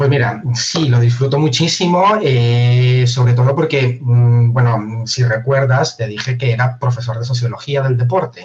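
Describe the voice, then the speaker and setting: A man with a medium-pitched voice speaks at a fairly slow pace with ordinary pitch variation. He leaves hardly any pauses and keeps his loudness very even. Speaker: university professor. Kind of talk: interview.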